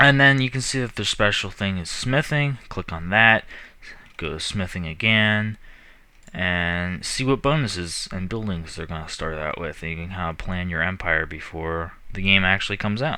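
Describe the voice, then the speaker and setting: A man mumbles at a moderate pace in a very deep, low pitch with a bright, sharp tone. The recording is very clean, with a silent background. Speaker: gaming youtuber. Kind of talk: game commentary. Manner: mumbling; casual, hesitant.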